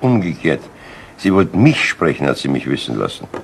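In a put-on character voice, a man speaks at an extremely low pitch with vocal fry, very wide pitch swings and a fairly quick pace.

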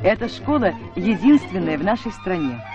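Clear music plays in the background, and the sound is dry with no echo. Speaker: newsreel narrator. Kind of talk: documentary narration. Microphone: old recording.

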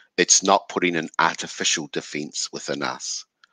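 With a bright, sharp tone and fairly even intonation, a man speaks at a fairly slow pace, his sound dry with no echo against a quiet background. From New Zealand, Taranaki; New Zealand. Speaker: iwi social services manager. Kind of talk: panel Q&A answering questions. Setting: livestream panel on social media. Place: home room. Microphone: video call.

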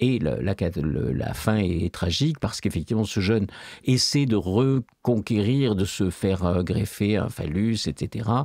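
Over a quiet background, a man talks at a very slow pace in a fairly low pitch, his dark, mellow tone carrying vocal fry and lively intonation at a very even loudness, dry with no echo. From France. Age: old. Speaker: philosophy professor. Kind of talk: interview. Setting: studio. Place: studio. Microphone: studio mic.

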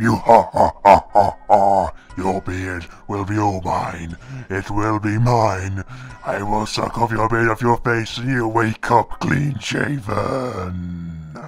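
A put-on character voice at a fairly slow pace over clear background music. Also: man, fairly low pitch for a man. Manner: menacing, cackling.

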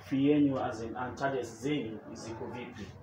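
There is noticeable background noise as a man speaks at a moderate pace. His intonation is fairly even. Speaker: show host interviewer. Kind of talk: interview questions. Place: gym. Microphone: camera far.

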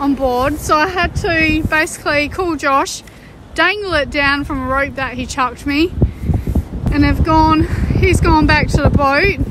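Recorded dry with no echo amid noticeable background noise, a woman talks at a high pitch and fairly slow pace with fairly even intonation. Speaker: sailing vlogger. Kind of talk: casual vlog chat.

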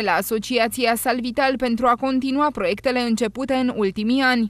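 Talking at a fairly quick pace, a woman uses a high pitch. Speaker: news presenter. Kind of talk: news reading.

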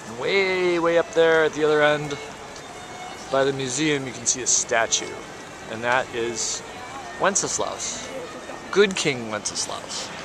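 Fairly slow speech with long, frequent pauses and big swings in loudness, over clear music in the background, in a dry sound with no echo. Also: man, ordinary pitch variation. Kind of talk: casual vlog chat. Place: street. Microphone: phone near.

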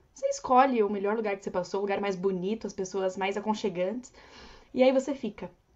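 A woman speaks very fast, her pitch fairly high. Her pitch varies in an ordinary way, and the background is quiet. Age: 20s. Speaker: au pair and travel influencer; travel influencer. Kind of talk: casual interview chat. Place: home room. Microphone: earbuds.

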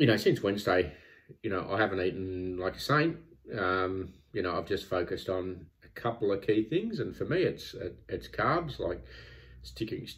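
At a moderate pace, a man speaks in a very deep, low pitch with a somewhat breathy sound over a quiet background. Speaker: vlogger tracking weight loss. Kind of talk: casual vlog chat. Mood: reflective, self-critical. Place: home room. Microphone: phone near.

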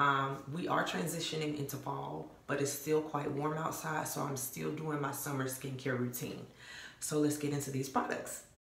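A woman with a very deep, low pitch speaks amid audible room echo. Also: moderate pace. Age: 30s. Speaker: beauty vlogger. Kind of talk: casual tutorial to camera. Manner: animated. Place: bathroom. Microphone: phone near.

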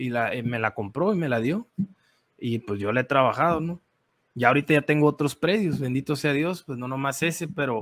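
Lively intonation marks this man's fairly high voice at a moderate pace. The sound is dry and close with no echo. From Sonora, Mexico. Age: 30s. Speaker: coffee farmer and café entrepreneur. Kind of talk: interview storytelling. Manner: animated.

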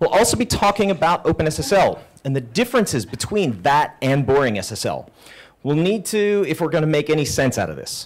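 Vocal fry marks this man's voice, which moves through very wide pitch swings. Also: moderate pace. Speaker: software architect. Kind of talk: conference talk. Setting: stage with audience. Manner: unconventional cadence. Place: hall. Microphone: handheld.

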